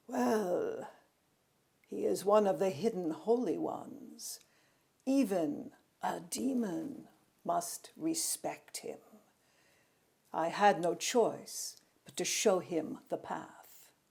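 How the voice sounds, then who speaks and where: Using a put-on character voice with a hissing sound, a woman speaks very slowly at a medium pitch with long, frequent pauses. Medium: read story. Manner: hissing, haughty.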